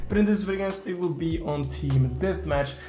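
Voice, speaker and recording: Music plays in the background as a man talks at a fairly quick pace, with audible room echo. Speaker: gaming YouTuber. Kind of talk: gaming tutorial. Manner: fast.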